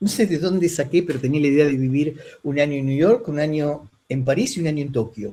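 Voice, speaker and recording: Somewhat breathy and fairly quick, a man talks in a fairly high voice with a dark, mellow tone and ordinary pitch variation. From Argentina. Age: 60s. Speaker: lute player. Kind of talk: interview conversation.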